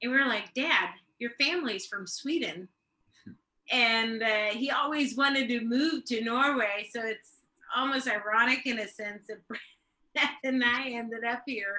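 A woman with an American accent speaks at a fairly high pitch in a bright, sharp tone. She goes at a fairly slow pace with fairly even intonation and long, frequent pauses. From Tulsa, Oklahoma, US. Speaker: missionary. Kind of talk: casual chat.

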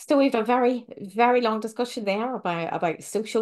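Over a quiet background, a woman speaks in a normal speaking voice, fairly high in pitch, with ordinary pitch variation. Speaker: podcast host, vet and minister. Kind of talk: casual interview chat.

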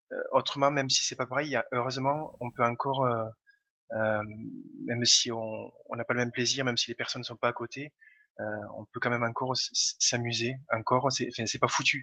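The man's tone is bright and sharp, his intonation monotone and flat. He leaves long, frequent pauses. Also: medium pitch for a man, moderate pace. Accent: slight Toulouse. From Toulouse, southern France. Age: 30s. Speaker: gamer and blogger. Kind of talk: casual chat.

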